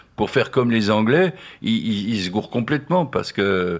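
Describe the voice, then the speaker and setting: A man speaks at a medium pitch and a fairly slow pace. The recording is very clean, with a silent background. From Nancy, France. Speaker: singer-songwriter, painter, poet. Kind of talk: radio interview answer. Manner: hesitant, reflective.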